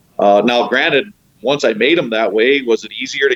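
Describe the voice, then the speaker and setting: With a dry, close sound and no echo, a man talks in a normal speaking voice at a fairly quick pace with ordinary pitch variation. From northeast Ohio, rural. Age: 50s. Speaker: professional angler and fishing guide. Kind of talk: casual chat.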